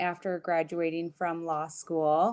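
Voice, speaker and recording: Against a quiet background, a woman speaks at a medium pitch. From Minnesota. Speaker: family lawyer. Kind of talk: casual interview.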